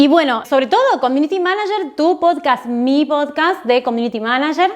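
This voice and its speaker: Very wide pitch swings in a woman's speech. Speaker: online marketing educator and YouTuber. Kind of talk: casual recommendation vlog. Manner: fast.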